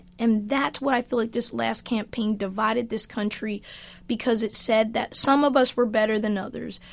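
A woman has an unremarkable speaking voice, a fairly high pitch, and fairly even intonation. She keeps a moderate pace in a very clean recording with a silent background. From eastern US (Army family, moved around). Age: 50s. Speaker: author and political commentator. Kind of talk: interview conversation.

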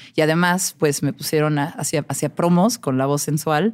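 A woman talks at a moderate pace, captured on a very clean recording with a silent background. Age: 30s. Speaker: music journalist and DJ. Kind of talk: casual chat.

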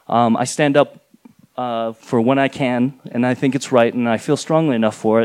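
A plain, everyday voice from a man, medium in pitch, with ordinary pitch variation and an American accent. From rural New Mexico. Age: 40s. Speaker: comic artist. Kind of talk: live storytelling. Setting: stage with audience.

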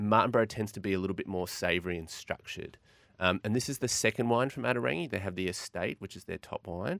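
Very fast speech comes from a man with an Australian accent. His pitch is fairly low, with ordinary variation. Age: 40s. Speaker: wine merchant. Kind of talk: casual chat.

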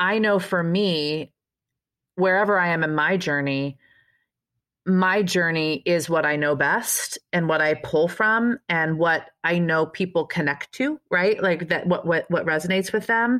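In an ordinary speaking voice, a woman talks at a fairly slow pace with very even loudness, her fairly low pitch showing ordinary variation. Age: 40s. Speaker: podcast host, fitness trainer. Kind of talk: casual interview chat. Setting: video call.

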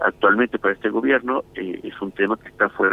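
A normal speaking voice from a man, fairly low in pitch, with ordinary pitch variation and a fairly quick pace. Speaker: children's rights advocate. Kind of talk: interview.

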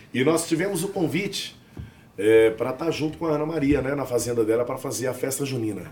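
At a very fast pace, a man speaks at a medium pitch with ordinary pitch variation, amid noticeable background noise and audible room echo. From southern Minas Gerais, Brazil, near São Paulo border. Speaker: sertanejo singer. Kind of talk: casual chat.

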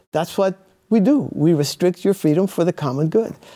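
The man has an American accent and a high pitch with a dark, mellow tone. He moves at a fairly quick pace with ordinary pitch variation. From Cuba, raised in the US from childhood. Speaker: author and former intelligence analyst. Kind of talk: interview.

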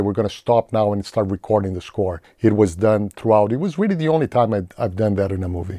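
Against a quiet background, a man speaks at a very fast pace in a dark, mellow tone, with a dry, close sound and no echo. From Brazil, São Paulo. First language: Portuguese. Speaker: film composer. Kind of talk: interview.

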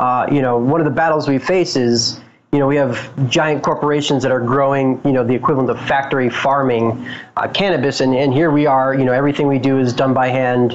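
A man with an American accent at a fairly quick pace, with fairly even intonation and very even loudness, amid noticeable background noise. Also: medium pitch for a man. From Boulder, Colorado. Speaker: cannabis grower and business owner. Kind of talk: interview.

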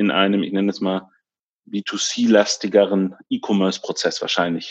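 A man speaks at a moderate pace in a fairly low pitch, with an unremarkable speaking voice. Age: 30s. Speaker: tech company executive. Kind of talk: interview.

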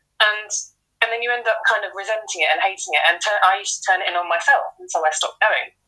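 A woman speaks very fast at a fairly high pitch, her bright, sharp tone showing ordinary pitch variation and big swings in loudness. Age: 30s. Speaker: former elite runner. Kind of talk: interview.

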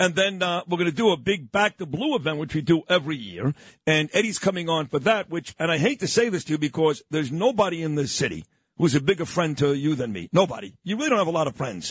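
With a New York accent, a man talks at a very fast pace in a fairly high pitch, his intonation lively and the sound dry and close with no echo. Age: 50s. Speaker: radio talk show host. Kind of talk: casual talk radio. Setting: studio. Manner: natural flow.

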